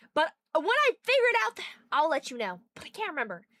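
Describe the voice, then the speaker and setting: Animated and very fast, a woman's raised, projected voice hits extremely high pitches with very wide swings, its tone bright and sharp in a dry, close sound with no echo. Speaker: streamer. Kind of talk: live stream chat reading.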